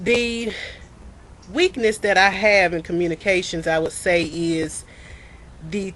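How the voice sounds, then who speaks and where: Speech comes at a very slow pace in a Mississippi accent with ordinary pitch variation. Long, frequent pauses run throughout. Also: woman. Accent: US Southern, Mississippi. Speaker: student. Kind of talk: self-introduction video. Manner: loud, clear pronunciation; halting, repeats words.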